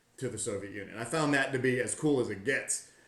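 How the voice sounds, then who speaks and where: There is audible room echo and noticeable background noise as a man speaks with an American accent. His pitch is medium, and his pace is fairly quick. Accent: Southern US, redneck. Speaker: tour company owner, army veteran. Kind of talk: podcast interview.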